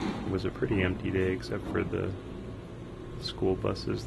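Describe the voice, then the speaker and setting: Soft-spoken and relaxed, a man talks at a moderate pace. Background noise can be clearly heard. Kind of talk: casual first-person museum tour narration. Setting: binaural microphone recording, ambient museum sounds. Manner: soft-spoken, relaxed, rambling.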